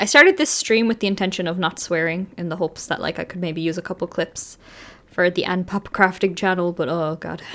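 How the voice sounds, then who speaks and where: A woman speaks with an Irish accent at a fairly low pitch. Her pace is fairly quick, with ordinary pitch variation. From Ireland, Dublin. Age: 20s. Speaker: streamer. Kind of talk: casual chat. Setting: livestream.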